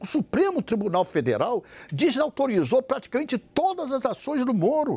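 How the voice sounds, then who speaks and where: A man talks at an extremely high pitch. His intonation is lively and his pace moderate. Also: dry, close sound with no echo. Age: 60s. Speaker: party president. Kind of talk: televised debate.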